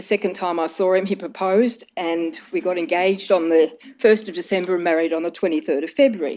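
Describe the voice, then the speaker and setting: In an Australian accent, a woman speaks at a moderate pace with a dark, mellow tone. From Australia, Melbourne area. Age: 60s. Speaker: cancer patient. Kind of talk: personal testimony.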